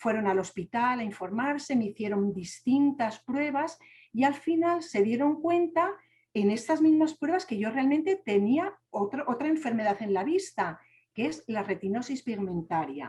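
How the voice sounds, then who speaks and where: Speaking with a Spanish accent, a woman uses a high pitch, very wide pitch swings, and a dark, mellow tone at a moderate pace. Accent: Spanish (Spain). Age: young. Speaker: deafblind speaker sharing her story. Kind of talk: testimony.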